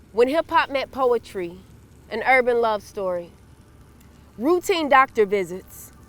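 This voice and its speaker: Over music in the background, a woman with a high pitch and very wide pitch swings talks at a fairly slow pace with long, frequent pauses. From Louisville, Kentucky. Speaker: poet and spoken word artist. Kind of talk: reading aloud from own memoir.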